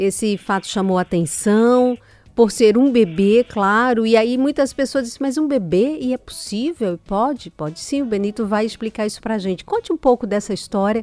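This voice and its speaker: With a fairly high pitch and lively intonation, a woman speaks at a moderate pace with hardly any pauses, in a dry, close sound with no echo. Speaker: radio health show host. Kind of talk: radio interview.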